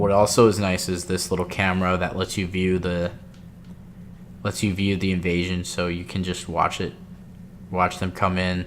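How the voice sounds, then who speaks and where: A man with a very deep, low pitch at a moderate pace, monotone and flat, with long, frequent pauses. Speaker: gaming video creator. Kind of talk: let's play commentary. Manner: casual, hesitant with fillers.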